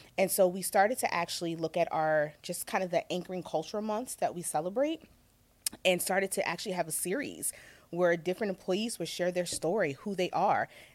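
Speaking at a fairly quick pace in an ordinary speaking voice, a woman with an American accent keeps a medium pitch and ordinary pitch variation. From Virginia. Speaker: corporate equity and inclusion executive. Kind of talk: interview.

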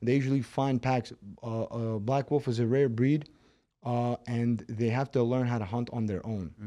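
This man talks with a Brooklyn accent, a dark, mellow tone and fairly even intonation. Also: medium pitch for a man, moderate pace. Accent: Brooklyn New York. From Moscow, Russia, raised in Brooklyn, New York. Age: 20s. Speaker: MMA fighter. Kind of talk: casual interview.

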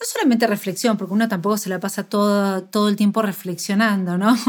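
Her voice is medium in pitch. The woman's intonation stays monotone and flat. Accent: Argentine. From Argentina. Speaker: nutritionist podcast co-host. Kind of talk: casual chat. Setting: remote call across two countries.

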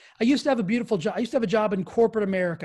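A man speaks. His tone is energetic. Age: 40s. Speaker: fitness and wellness podcast host. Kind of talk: motivational monologue. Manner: energetic, emphatic.

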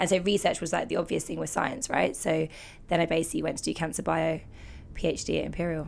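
A woman talks with an English accent. Her pace is very fast. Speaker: care startup founder. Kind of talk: interview. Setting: studio. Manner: animated.

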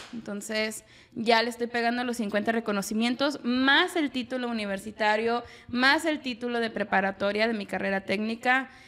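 Talking at a fairly slow pace, a woman uses a plain, everyday voice, fairly high in pitch with ordinary pitch variation. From Mexico. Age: 20s. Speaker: psychologist. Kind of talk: casual chat. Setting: home kitchen.

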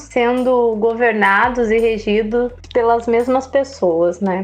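A woman's high voice moves at a very slow pace, its pitch varying in an ordinary way. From Andirá, Paraná, Brazil. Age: 30s. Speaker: mayoral pre-candidate. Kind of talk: interview.

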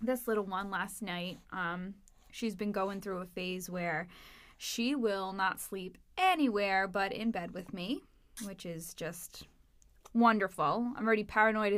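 A medium-pitched woman's voice at a fairly slow pace, with ordinary pitch variation and big swings in loudness, on a very clean recording with a silent background. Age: 20s. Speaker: podcast host, mother. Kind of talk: casual chat.

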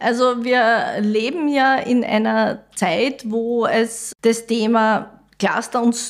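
A woman's voice, very cleanly recorded, silent background. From Austria, Styria (Mariazell). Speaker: civil engineer, head of school building division. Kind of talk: podcast interview.

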